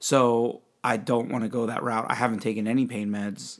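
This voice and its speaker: A man with a medium pitch talks at a moderate pace in a monotone, flat intonation. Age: 40s. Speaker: podcast host. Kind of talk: casual chat.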